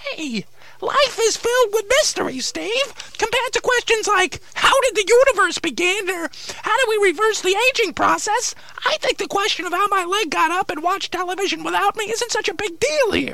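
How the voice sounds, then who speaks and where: A cartoonish character voice at an extremely high pitch moves at a moderate pace over light background noise. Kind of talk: comic ventriloquist patter. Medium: puppet show. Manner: indignant, rationalizing.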